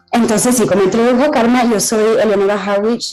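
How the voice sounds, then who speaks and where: A woman is speaking. Her pace is fairly quick. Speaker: AI health policy expert speaking at a conference. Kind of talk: conference talk. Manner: halting.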